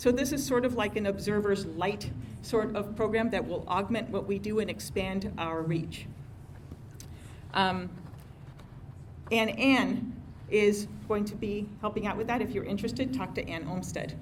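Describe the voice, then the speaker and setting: Amid audible room echo, a woman with vocal fry and medium pitch talks at a moderate pace with ordinary pitch variation and long, frequent pauses. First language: not English. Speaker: civic organization president. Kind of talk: meeting announcements. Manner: hesitant, many fillers.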